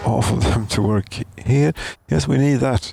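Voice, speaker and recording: Over noticeable background noise, a man mumbles at a fairly quick pace. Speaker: gaming commentator. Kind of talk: let's play commentary. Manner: mumbling; halting.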